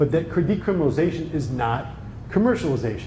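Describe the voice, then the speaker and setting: A man with an American accent and an animated tone at a fairly quick pace, with audible room echo and noticeable background noise. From New Jersey. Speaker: lawyer and cannabis industry speaker. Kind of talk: conference talk. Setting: conference room with audience. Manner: animated, conversational.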